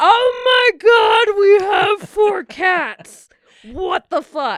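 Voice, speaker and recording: An extremely high, put-on character voice speaks at a very slow pace. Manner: squawky.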